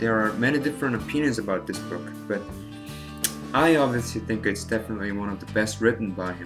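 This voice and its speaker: Music in the background behind a man's fairly low voice, very wide pitch swings, and a fairly quick pace. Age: 20s. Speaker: book reviewer. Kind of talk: casual book review to camera.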